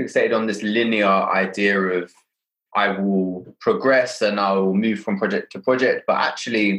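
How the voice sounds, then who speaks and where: With a London accent, a man talks at a moderate pace. His loudness stays very even. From London, Hackney. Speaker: podcast host. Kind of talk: casual interview conversation.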